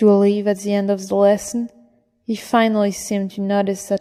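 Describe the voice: A quiet background behind plain reading aloud.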